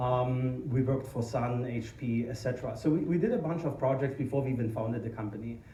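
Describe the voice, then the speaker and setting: A man with a strong German accent, medium pitch, ordinary pitch variation and a fairly quick pace, with audible room echo and noticeable background noise. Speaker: tech company founder and conference speaker. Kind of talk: conference talk. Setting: stage with audience. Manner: hesitant, many fillers.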